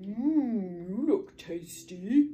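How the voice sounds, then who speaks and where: A female-sounding voice at medium pitch puts on a character voice. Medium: read story. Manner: mooing.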